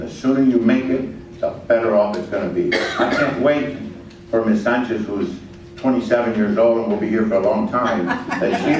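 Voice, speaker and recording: Lively intonation marks a man speaking at a moderate pace amid noticeable background noise and audible room echo. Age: 70s. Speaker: veterans organization leader. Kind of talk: public forum comment.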